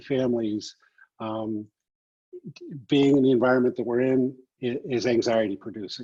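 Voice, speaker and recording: A man speaks at a moderate pace in a medium pitch with a dark, mellow tone, fairly even intonation, and long, frequent pauses. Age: 60s. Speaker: addiction recovery practitioner. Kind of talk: online panel talk. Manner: hesitant, many fillers.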